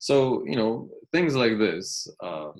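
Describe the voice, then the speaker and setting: A man with a Polish accent talks against a quiet background. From Poland. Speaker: university lecturer. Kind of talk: recorded lecture commentary. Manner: halting, many fillers and restarts.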